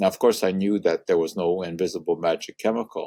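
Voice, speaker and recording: With a Hungarian accent, a man speaks in a dark, mellow tone, the sound dry and close with no echo. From Montreal, Canada (born in Hungary). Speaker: science communicator, chemistry professor. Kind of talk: interview conversation. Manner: hesitant with frequent uh fillers.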